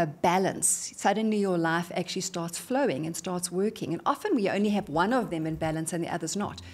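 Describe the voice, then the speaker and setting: A woman speaks with a South African accent. Her tone is energetic and her intonation lively. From South Africa, Johannesburg. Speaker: motivational speaker. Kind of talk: interview. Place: studio. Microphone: studio mic.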